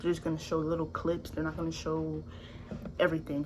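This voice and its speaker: A woman with a fairly low voice talks at a fairly quick pace, with audible room echo. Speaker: YouTuber reacting to videos. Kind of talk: casual reaction commentary. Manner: animated.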